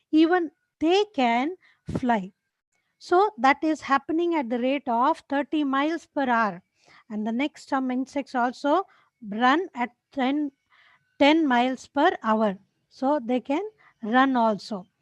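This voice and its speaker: Very slow and broken by long, frequent pauses, a woman's high-pitched voice carries lively intonation in a dry, close sound with no echo. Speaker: teacher. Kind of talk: lecture.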